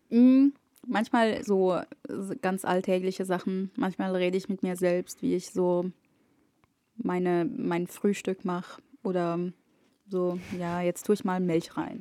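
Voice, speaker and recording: At a very slow pace with long, frequent pauses, a woman speaks in a medium pitch with ordinary pitch variation and a dark, mellow tone. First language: Arabic (speaking German). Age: 20s. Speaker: media studies student. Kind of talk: casual chat.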